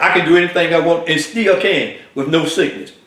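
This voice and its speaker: Against audible room echo, a man speaks at a high pitch and a fairly quick pace. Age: 70s. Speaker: health vlogger. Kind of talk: personal testimony. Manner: halting, many fillers.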